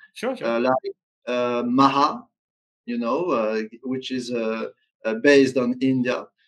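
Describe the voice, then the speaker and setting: Very slow speech from a man with a French accent, long, frequent pauses and fairly even intonation, over a quiet background. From France. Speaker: tabletop game designer. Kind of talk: interview. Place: home room.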